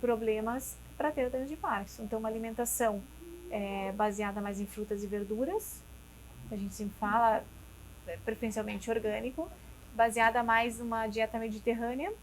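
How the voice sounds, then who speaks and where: Her pitch fairly high, a woman speaks with fairly even intonation and long, frequent pauses. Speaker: neurologist. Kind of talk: interview. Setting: restaurant studio. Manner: fast.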